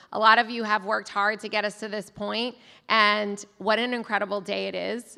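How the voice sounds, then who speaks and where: A woman speaks at a moderate pace in an American accent. Her pitch is fairly high and her tone bright and sharp. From Florida, Tampa. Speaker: political candidate's wife. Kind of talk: campaign speech.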